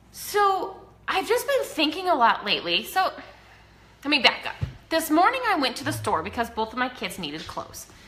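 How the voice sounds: A woman with an American accent talks at a moderate pace in a high pitch with very wide pitch swings. Her tone is bright and sharp, and audible room echo surrounds her voice.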